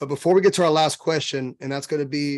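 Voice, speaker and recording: A man speaks at a very fast pace with a fairly high pitch. The background is quiet. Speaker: podcast host. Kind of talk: casual interview chat. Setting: live video stream. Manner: animated.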